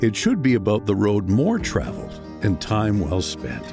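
A man's intonation stays lively while music plays behind him. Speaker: voice actor. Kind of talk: TV commercial read.

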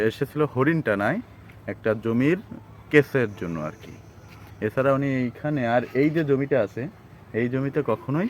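A man talks in a normal speaking voice at a medium pitch, with ordinary pitch variation. His loudness swings widely from moment to moment. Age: under 60. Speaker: travel vlogger. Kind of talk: vlog narration.

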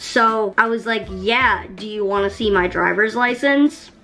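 Noticeable background noise beneath a woman's fairly high voice. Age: 20s. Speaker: YouTuber. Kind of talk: storytime monologue. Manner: animated.

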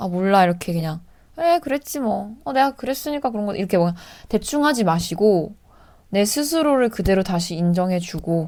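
The recording is very clean, with a silent background. A woman talks at a moderate pace in a medium pitch, with lively intonation. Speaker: actress and vlogger. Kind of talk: casual Q&A vlog. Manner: calm.

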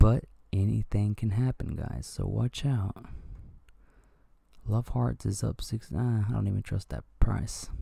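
Quiet and somewhat breathy, a man speaks at a fairly slow pace with a fairly low pitch and a dark, mellow tone. Long, frequent pauses fill his speech. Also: lively intonation. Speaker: crypto YouTuber. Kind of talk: casual market commentary. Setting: at home early morning. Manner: quiet, talking low.

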